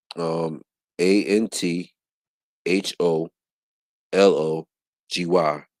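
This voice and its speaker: A man's very deep, low voice at a very slow pace, with long, frequent pauses and a dry, close sound with no echo. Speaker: panel participant. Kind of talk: casual chat. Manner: slurred speech; halting.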